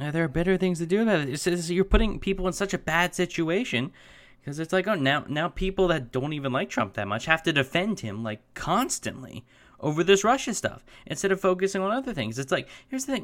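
On a very clean recording with a silent background, a man with a nervous tone talks very fast at a high pitch, his voice swinging very widely up and down. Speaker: YouTube commentator reviewing news articles. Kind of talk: angry rant. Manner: exasperated, fast, fragmented and repetitive, with stammering restarts; interrupts himself with nervous laughs, sounds incredulous and fed up.

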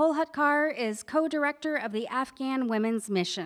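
A woman with a high pitch speaks at a moderate pace with ordinary pitch variation on a very clean recording with a silent background. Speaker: event announcer. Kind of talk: scripted event introduction. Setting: stage with audience.

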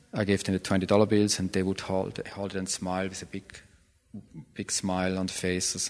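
A man with a very deep, low voice. He speaks in a flat monotone. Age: 40s. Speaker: artist. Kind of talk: interview.

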